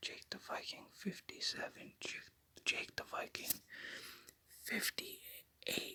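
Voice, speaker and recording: At a very slow pace, the words come out in a whisper. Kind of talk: ASMR name repetition. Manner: whispered.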